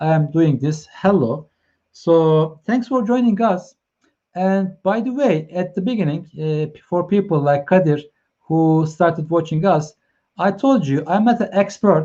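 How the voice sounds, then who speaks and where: Dark, mellow tone from a man with a Turkish accent, high pitch, ordinary pitch variation and a fairly slow pace. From Turkey, Ankara. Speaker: live stream host, consultant. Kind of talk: live stream chat. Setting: online live stream. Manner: halting, many fillers.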